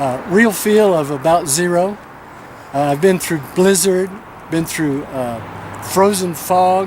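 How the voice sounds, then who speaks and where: Against noticeable background noise and audible room echo, a man with an American accent and a high-pitched voice speaks at a very slow pace with ordinary pitch variation and long, frequent pauses. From Tennessee. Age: 60s. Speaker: pastor. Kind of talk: news interview.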